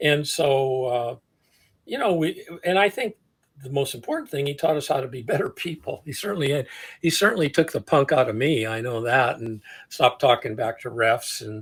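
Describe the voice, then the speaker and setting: In a very clean recording with a silent background, a man with a fairly high pitch sounds somewhat breathy and uses lively intonation. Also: moderate pace. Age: 70s. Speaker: athletic development coach. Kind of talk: interview. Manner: halting.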